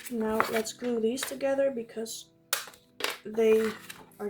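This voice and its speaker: Long, frequent pauses break up fairly slow speech with fairly even intonation, over noticeable background noise. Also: woman. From Netherlands. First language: Dutch. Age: 20s. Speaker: journaling YouTuber. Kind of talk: casual vlog talk while crafting. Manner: occasional hesitations and fillers.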